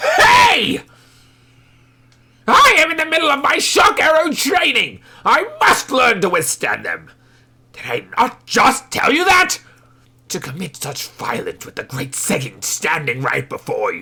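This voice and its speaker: A put-on character voice speaks high and fairly slowly. Long pauses come often. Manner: indignant, irritated.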